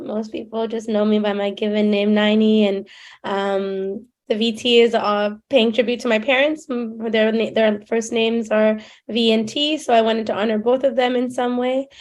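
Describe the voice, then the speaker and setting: An ordinary speaking voice with a Canadian accent moves at a moderate pace with fairly even intonation over a quiet background. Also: woman. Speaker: filmmaker. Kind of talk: interview.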